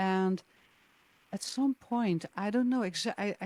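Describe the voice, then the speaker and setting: Speaking at a fairly slow pace, a woman talks with a Dutch accent. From Netherlands. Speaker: jazz singer. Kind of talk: interview. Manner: hesitant, many fillers.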